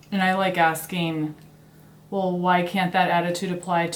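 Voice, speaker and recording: A woman's fairly low voice, a plain, everyday voice, at a moderate pace with ordinary pitch variation. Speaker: host of a YouTube channel interviewing her mother.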